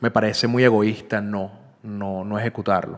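A man with a Venezuelan accent speaks in a fairly low pitch. His intonation is monotone and flat, and the background is quiet. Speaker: journalist and human rights activist; journalist. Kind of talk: casual conversational interview. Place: home room. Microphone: studio mic.

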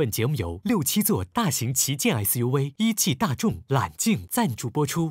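A man's fairly high voice with vocal fry and very wide pitch swings, at a fairly slow pace with hardly any pauses. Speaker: narrator announcer. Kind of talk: scripted narration.

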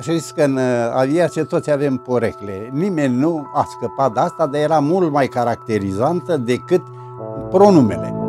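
Clear music plays in the background while a man talks with ordinary pitch variation. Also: medium pitch for a man, moderate pace. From Romania. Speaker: WWII fighter pilot veteran, general and writer. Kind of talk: interview answer. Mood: reminiscing, emotional in parts. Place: home room.

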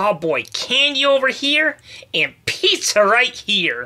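This is a female-sounding, put-on character voice. It sits at a high pitch for a woman. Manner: greedy, excited.

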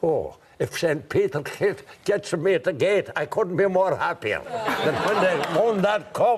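A man talks at a fairly slow pace with very even loudness. Noticeable background noise runs beneath him. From Ireland. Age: 90s. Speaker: hurling fan; guest. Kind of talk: TV chat show interview. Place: studio.

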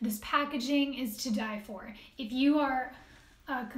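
Audible room echo surrounds a woman whose high-pitched voice has ordinary pitch variation. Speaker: beauty vlogger. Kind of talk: casual vlog chat, product review. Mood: upbeat, enthusiastic. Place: home room. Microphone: phone near.

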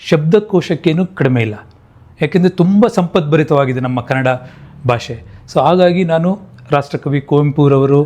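A man speaks with a dark, mellow tone and a fairly high pitch. His pitch varies in an ordinary way. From Mandya district, Karnataka, India. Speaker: software engineer and film producer. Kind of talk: monologue to camera.

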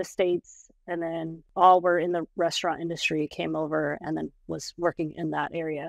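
At a moderate pace and with hardly any pauses, a woman with an American accent speaks fairly low in a monotone, flat intonation, the sound dry with no echo against a quiet background. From Portland, Oregon, USA. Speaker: podcast guest, administrative professional. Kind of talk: podcast interview answer. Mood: calm, reflective. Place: home room. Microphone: video call.

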